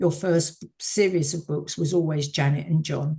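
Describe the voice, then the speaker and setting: Somewhat breathy and with a southern English accent, a woman speaks at a moderate pace in a very deep, low pitch with a dark, mellow tone. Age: 70s. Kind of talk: interview.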